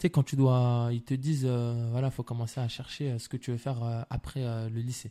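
A man's dark, mellow voice in a monotone, flat intonation with hardly any pauses, dry and close with no echo. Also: medium pitch for a man, moderate pace. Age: 20s. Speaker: film director. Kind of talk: casual chat.

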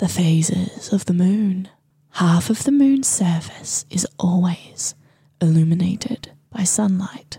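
Putting on a character voice, a woman speaks at a slow pace in a dark, mellow tone with a husky, rough edge, her pitch fairly low with ordinary variation.

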